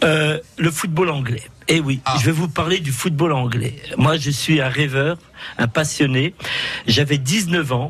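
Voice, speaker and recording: Very slow speech from a man, fairly high in pitch, with ordinary pitch variation over noticeable background noise. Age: 60s. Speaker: radio call-in contributor. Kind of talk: casual chat. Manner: animated.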